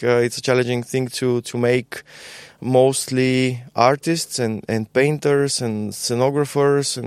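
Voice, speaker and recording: In a very clean recording with a silent background, a man with a Bulgarian accent speaks with fairly even intonation. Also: dry, close sound with no echo. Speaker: musician and university teacher. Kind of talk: casual interview. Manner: halting, many repetitions.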